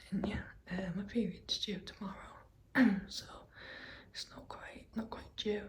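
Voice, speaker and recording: A woman whispers at a fairly slow pace, with long, frequent pauses. Audible room echo surrounds her voice. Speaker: vlogger. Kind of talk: personal vlog. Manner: quiet.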